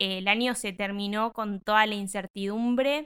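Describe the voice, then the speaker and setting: The woman's pitch is fairly high, and her tone is bright and sharp. She speaks at a very slow pace. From Bolívar, Buenos Aires province, Argentina. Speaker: educational psychologist and teaching student. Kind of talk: casual chat.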